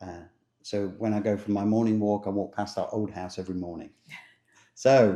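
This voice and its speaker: A man speaks in a monotone, flat intonation with a dark, mellow tone. Long pauses come often. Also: quiet background. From England. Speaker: travel vlogger. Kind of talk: casual chat.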